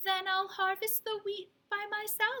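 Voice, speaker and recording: A woman's squeaky, put-on character voice at an extremely high pitch, monotone and flat, at a moderate pace. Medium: read story. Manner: patient, determined.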